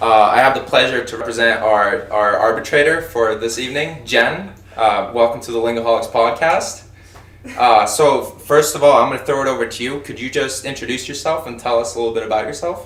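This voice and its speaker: A fairly quick man with ordinary pitch variation, amid noticeable background noise and audible room echo. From Sweden. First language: Swedish. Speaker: podcast host. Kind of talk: casual chat.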